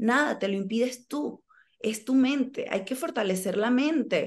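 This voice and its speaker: Against a quiet background, a woman speaks with high pitch and lively intonation. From Venezuela. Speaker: actress. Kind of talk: interview. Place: home room. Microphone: video call.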